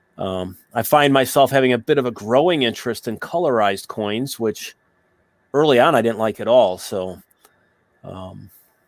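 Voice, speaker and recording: An unremarkable speaking voice from a man of medium pitch, moderate pace, ordinary pitch variation and big swings in loudness, on a very clean recording with a silent background. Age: 50s. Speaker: coin collector guest. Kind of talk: casual chat.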